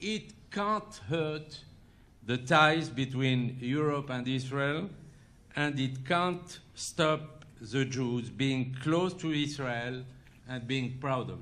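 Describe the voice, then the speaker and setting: Speaking at a very slow pace with a French accent, a man has a fairly high pitch, a bright, sharp tone and ordinary pitch variation. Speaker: interview guest.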